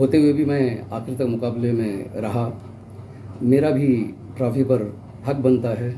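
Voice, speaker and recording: Audible room echo surrounds a man's voice. His pitch is medium and his intonation fairly even. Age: 60s. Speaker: elderly marathon participant, vlogger. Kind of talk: personal account to camera.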